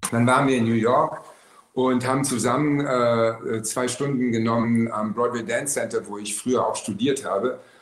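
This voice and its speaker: Against noticeable background noise and audible room echo, a man speaks at a moderate pace with a medium pitch and fairly even intonation. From Berlin. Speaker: actor. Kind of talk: casual chat.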